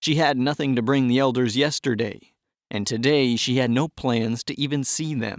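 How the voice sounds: It is a natural reading voice. The background is quiet.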